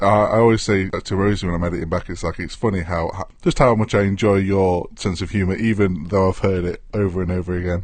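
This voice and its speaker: With an English accent, the speech rushes along at a very fast pace, hardly pausing, in a fairly even intonation. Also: man, very deep, low pitch for a man. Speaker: podcast co-host. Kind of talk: casual chat. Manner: long random pauses between words.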